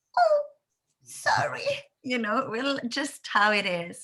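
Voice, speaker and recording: The voice has an Italian accent, a bright, sharp tone and a bubbly quality. Its intonation is lively, in a very clean recording with a silent background. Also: woman. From Italy. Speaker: content creator. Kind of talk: interview. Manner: bubbly, lively; loud.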